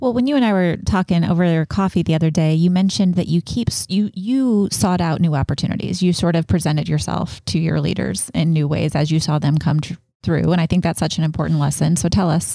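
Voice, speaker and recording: This woman has a normal speaking voice with a fairly low pitch and ordinary pitch variation. She keeps very even loudness and a fairly quick pace, with hardly any pauses. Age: 40s. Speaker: podcast host. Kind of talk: casual interview chat.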